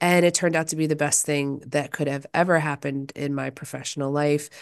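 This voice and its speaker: Against a quiet background, a woman talks at a fairly quick pace with a very deep, low pitch. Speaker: lawyer and podcaster. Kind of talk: interview conversation. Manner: less peppy than usual.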